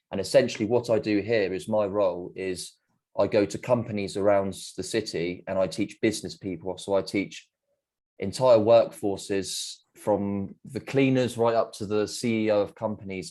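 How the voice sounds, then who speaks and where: With an English accent, a man talks at a moderate pace in a dark, mellow tone, fairly low in pitch with fairly even intonation, on a very clean recording with a silent background. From England. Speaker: English teacher. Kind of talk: job interview. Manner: hesitant, with fillers.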